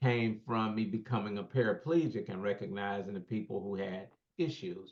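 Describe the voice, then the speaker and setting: A man talks at a moderate pace in an unremarkable speaking voice. His pitch sits in the medium range. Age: 60s. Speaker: keynote speaker and real estate developer, paraplegic. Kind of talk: podcast interview.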